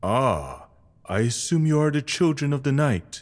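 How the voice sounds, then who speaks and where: A put-on character voice at a low-to-middle pitch and a moderate pace. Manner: warm, knowing.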